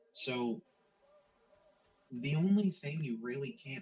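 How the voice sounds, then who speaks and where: A somewhat breathy man's voice, fairly high in pitch, at a very slow pace. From Canada. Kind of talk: casual chat.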